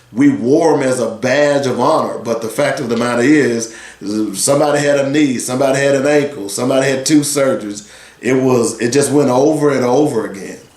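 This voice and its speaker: The speech comes at a fairly quick pace with fairly even intonation. Audible room echo and noticeable background noise are present. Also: man, medium pitch for a man. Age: 60s. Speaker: sports radio host. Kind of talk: radio talk show monologue.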